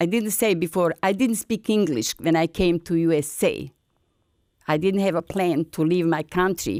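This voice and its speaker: In a very clean recording with a silent background, a woman with a Bosnian accent speaks at medium pitch and very even loudness, the sound dry and close with no echo. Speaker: folk singer and retired language service coordinator. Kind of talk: interview testimony. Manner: halting non-native English.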